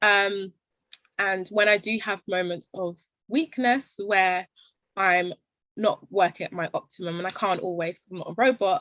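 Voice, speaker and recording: In a London accent, a woman speaks at a moderate pace with a medium pitch, fairly even intonation and a bright, sharp tone, her voice dry and close with no echo against a quiet background. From London, England. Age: 20s. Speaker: social enterprise founder. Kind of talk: panel Q&A talk.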